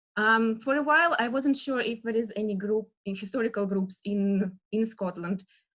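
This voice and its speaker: A woman speaks with a Russian accent. Her pitch is medium and her pace moderate. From Russia, Western Siberia near Novosibirsk. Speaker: dance historian lecturer. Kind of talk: lecture. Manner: halting, many fillers.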